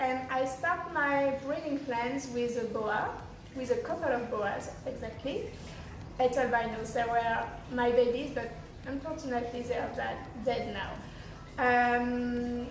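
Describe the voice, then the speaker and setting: A woman with a French accent at a high pitch, very slow pace and fairly even intonation, amid noticeable background noise and audible room echo. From France. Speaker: snake breeder and channel host. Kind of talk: casual channel introduction. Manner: halting.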